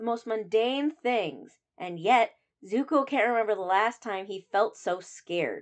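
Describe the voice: A quiet background behind plain reading aloud.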